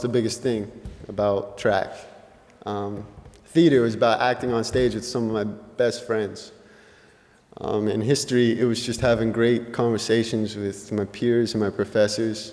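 With an American accent, a man talks at a moderate pace and medium pitch in a monotone, flat intonation. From New Mexico, US. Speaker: college senior. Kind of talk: speech. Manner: casual, hesitant.

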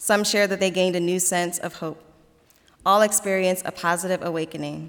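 This woman has a normal speaking voice at a medium pitch. She talks at a fairly quick pace with fairly even intonation. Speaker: diversity programs coordinator. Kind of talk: moderating a campus assembly. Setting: stage with audience.

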